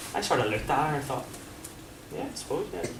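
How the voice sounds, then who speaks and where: Someone with a strong Belfast accent speaks over noticeable background noise, with audible room echo. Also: man. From Northern Ireland, Belfast. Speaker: former professional footballer, sports psychology speaker. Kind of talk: presentation to a coaching audience. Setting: room with live audience. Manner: animated, conversational.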